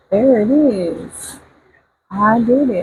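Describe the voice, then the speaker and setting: A woman's voice comes through somewhat breathy. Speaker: beauty YouTuber. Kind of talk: product review with casual chat. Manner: chatty, hesitant with fillers.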